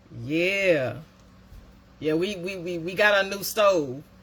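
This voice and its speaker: A woman speaks with a fairly low pitch. Her pitch variation is ordinary. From US South, Decatur County, Georgia. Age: 50s. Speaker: live stream host. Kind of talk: casual chat. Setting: Facebook live stream.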